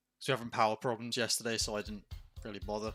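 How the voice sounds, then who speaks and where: The speaker has an English accent. Music plays in the background. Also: man. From England. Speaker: animator livestreamer. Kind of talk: casual livestream chat. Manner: relaxed.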